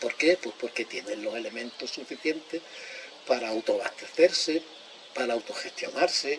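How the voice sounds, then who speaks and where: Amid noticeable background noise, a man with a fairly high voice speaks at a moderate pace, his pitch varying in an ordinary way and his loudness swinging widely. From Extremadura, Spain. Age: 70s. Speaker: speaker on ecology and collapse. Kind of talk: public talk.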